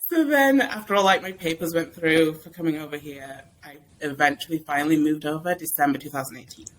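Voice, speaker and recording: Speaking very fast with an English accent, a woman's very deep, low voice swings widely in loudness. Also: ordinary pitch variation, hardly any pauses. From England. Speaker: podcast guest, mom blogger. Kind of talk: casual chat.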